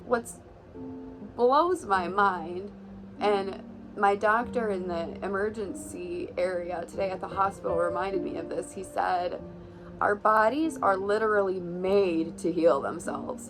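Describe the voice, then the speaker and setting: Audible room echo around a woman speaking in a medium pitch. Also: ordinary pitch variation. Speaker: vlogger. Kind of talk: casual vlog talk. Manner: hesitant with many fillers.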